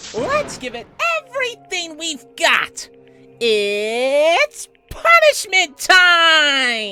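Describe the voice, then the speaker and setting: Faint music plays in the background as a put-on character voice speaks at a very slow pace. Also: man, extremely high pitch for a man. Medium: dub. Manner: playful, excited.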